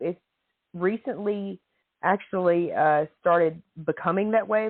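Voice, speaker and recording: With a Tennessee accent, a woman talks at a fairly slow pace. Her pitch variation is ordinary. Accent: Southern US (Tennessee). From Tennessee, near Nashville. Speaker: podcast guest writer. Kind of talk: casual chat.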